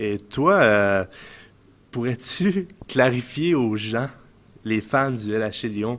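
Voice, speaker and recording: In a Quebec accent, the speaker talks at a very slow pace with lively intonation and long, frequent pauses. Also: man, medium pitch for a man. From Quebec, Montreal suburbs. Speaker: ice hockey player. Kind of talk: casual interview. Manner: hesitant, many fillers.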